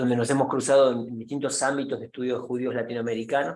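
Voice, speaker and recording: Here a man speaks at a medium pitch. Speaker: professor. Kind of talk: lecture. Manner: halting with fillers.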